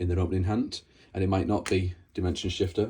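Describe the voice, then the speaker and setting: A man's very deep, low, somewhat breathy voice holds a monotone, flat intonation. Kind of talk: casual card game tutorial talk. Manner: casual, hesitant.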